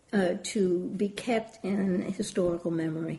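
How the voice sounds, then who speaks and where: Her dark, mellow voice is somewhat breathy, and the woman speaks at a medium pitch with ordinary pitch variation. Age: 80s. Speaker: literary scholar. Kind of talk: interview.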